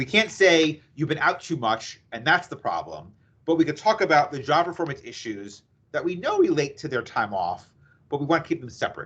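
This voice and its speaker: A man with an American accent talks at a fairly quick pace. His intonation is lively, with vocal fry. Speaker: employment attorney presenter. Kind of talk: webinar presentation. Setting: video call webinar. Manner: fast.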